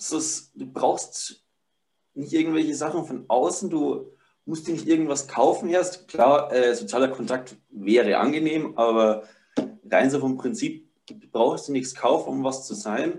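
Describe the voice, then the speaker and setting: A man speaks with lively intonation and a fairly high pitch. He has an unremarkable speaking voice. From Upper Palatinate, Bavaria. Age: 20s. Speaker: barefoot living and ice bathing enthusiast. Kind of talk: casual interview.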